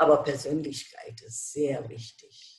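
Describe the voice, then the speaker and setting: The speaker has a Bengali accent. The pace is very slow. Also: woman. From India. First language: Bengali (speaking German). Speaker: retired German teacher. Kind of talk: interview.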